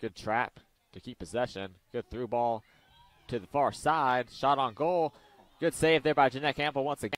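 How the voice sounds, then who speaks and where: Speaking at a moderate pace, a man uses an ordinary speaking voice at medium pitch with ordinary pitch variation. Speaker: soccer commentator. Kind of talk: live sports commentary.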